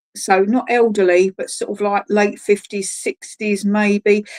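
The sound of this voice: A woman's medium-pitched, slightly mellow voice, fairly slow with little pitch movement, in a dry, close sound with no echo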